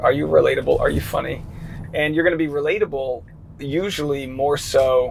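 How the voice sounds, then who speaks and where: Noticeable background noise and audible room echo surround the recording. A man talks at a fairly quick pace. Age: 30s. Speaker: comedian and show host. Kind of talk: casual interview chat.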